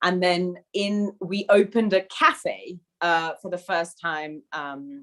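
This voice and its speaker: In a British accent, a woman talks with a fairly low voice. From United Kingdom. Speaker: food business founder. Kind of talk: panel discussion.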